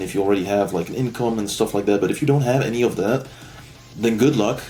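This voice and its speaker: Speaking in a fairly low pitch, a man talks with a non-native accent. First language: not English. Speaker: online marketing agency owner, vlogger. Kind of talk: casual rant vlog. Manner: rambling, hesitant with fillers.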